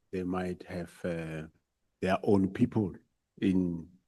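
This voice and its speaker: A man at a very slow pace with a very deep, low pitch, against a quiet background. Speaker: national police commissioner. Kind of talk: testimony at parliamentary hearing. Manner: hesitant, many fillers.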